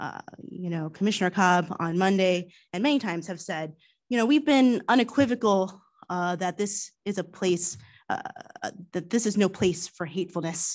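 The speaker moves at a moderate pace with ordinary pitch variation against a quiet background. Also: woman, medium pitch for a woman. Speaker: township commissioner. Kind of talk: public meeting remarks. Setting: township meeting room, livestreamed. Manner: soft-spoken; hesitant, many fillers. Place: meeting room. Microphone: podium.

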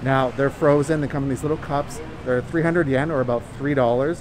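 A man speaks with ordinary pitch variation while noticeable background noise runs beneath him. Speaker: travel vlogger. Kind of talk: casual vlog chat.

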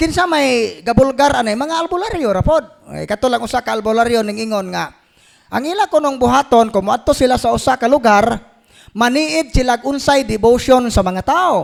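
A man with an extremely high pitch talks at a moderate pace, his intonation lively. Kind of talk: Q&A teaching on faith.

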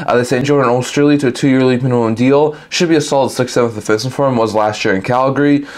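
A man rattles along at a very fast pace, his intonation fairly even throughout. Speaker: sports channel host. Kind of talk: commentary. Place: home room. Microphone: lapel.

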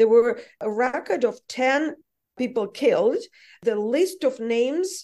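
A fairly slow pace in a Russian accent. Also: woman. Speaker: journalist. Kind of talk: interview.

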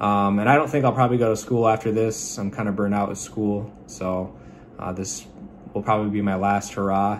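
A man with a fairly low pitch, fairly even intonation and a fairly quick pace, over light background noise. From Michigan. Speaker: student pilot and Navy veteran. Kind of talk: class self-introduction video. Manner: halting with frequent fillers. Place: home room. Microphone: phone near.

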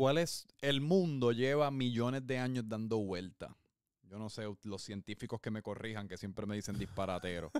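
A man speaks at a medium pitch and a moderate pace, with ordinary pitch variation. The background is quiet, and the sound is dry with no echo. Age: 20s. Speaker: podcast host. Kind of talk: casual chat. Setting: at home. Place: home room. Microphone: handheld.

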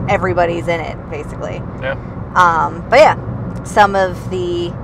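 Against noticeable background noise, a woman's voice comes through with a dry sound and no echo. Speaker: passenger co-host. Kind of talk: casual conversation. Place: car. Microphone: camera far.

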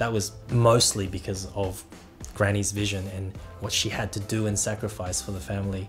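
A man's fairly low voice at a moderate pace, fairly even in intonation, with clear music in the background. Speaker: TikTok creator. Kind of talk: interview answer. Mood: warm, fond. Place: home room.

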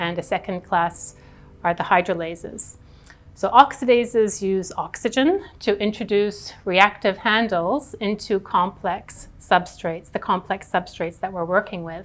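Music plays behind a woman who speaks at a fairly slow pace with ordinary pitch variation. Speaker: professor researcher. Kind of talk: interview answer. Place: hall. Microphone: lapel.

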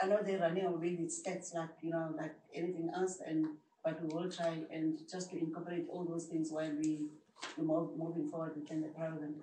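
A woman talks at a fairly quick pace in a fairly low pitch with monotone, flat intonation. Audible room echo and light background noise surround her. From South Africa. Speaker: health rights project worker; presenter. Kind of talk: audience comment. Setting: seminar room with audience. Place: meeting room. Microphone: camera far.

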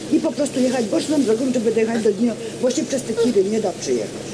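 A woman talks at a very fast pace in a high voice, with noticeable background noise. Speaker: resident. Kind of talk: public debate. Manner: emotional. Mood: earnest, complaining. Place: street.

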